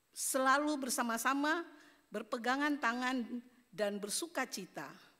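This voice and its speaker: A woman's raised, projected voice, high-pitched and bright and sharp in tone, at a fairly slow pace with ordinary pitch variation, on a very clean recording with a silent background. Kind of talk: conference speech, read prepared text.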